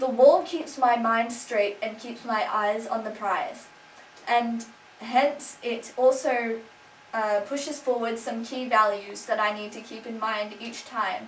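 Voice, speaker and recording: Very slowly, a woman with an Australian accent speaks at a fairly high pitch with ordinary pitch variation and big swings in loudness, amid noticeable background noise and audible room echo. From Australia (Sydney). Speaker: video blogger. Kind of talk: casual vlog. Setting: at home, lounge room. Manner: animated.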